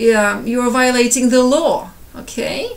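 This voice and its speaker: A woman's high-pitched voice in a Ukrainian accent, with audible room echo and noticeable background noise. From Ukraine, Kyiv. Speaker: civilian giving personal account. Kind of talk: personal testimony. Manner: halting, with repetitions.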